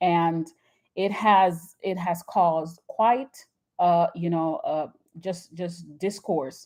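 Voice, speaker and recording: At a very slow pace, a woman with a Jamaican accent speaks in a fairly low, dark, mellow voice with fairly even intonation. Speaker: YouTube commentator. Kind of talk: live stream chat. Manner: enunciated; halting.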